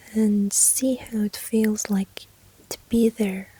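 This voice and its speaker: The tone is gentle. Noticeable background noise runs underneath. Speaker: ASMR creator. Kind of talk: ASMR whisper-style personal attention talk. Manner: soft-spoken, gentle.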